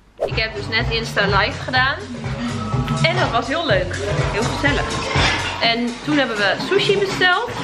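Loud music fills the background while a woman speaks at a moderate pace. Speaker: vlogger. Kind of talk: casual vlog chat. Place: home room. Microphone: phone near.

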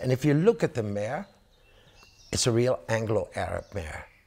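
A man speaks with very wide pitch swings. His voice is somewhat breathy. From Belgium. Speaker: horse breeder and auctioneer. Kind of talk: promotional interview. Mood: enthusiastic, praising horses. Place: home room. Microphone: lapel.

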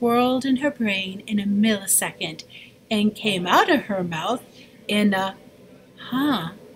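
Someone reads aloud plainly. Pitch rises and falls in an ordinary manner.

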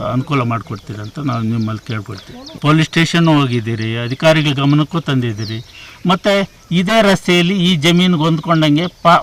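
A plain, everyday voice carries lively intonation. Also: man, fairly high pitch for a man. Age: 60s. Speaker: village elder. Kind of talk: news interview.

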